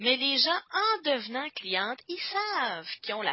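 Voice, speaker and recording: The pace is moderate. It is a woman's voice. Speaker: team leader of product demonstrators. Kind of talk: conference call workshop. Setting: conference call. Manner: hesitant with frequent fillers.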